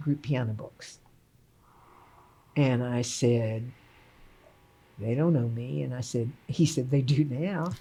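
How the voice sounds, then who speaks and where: A woman speaks very slowly with an American accent, her voice somewhat breathy. Her pitch is very deep and low, with ordinary variation. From Texas. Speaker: retired piano professor. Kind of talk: casual interview.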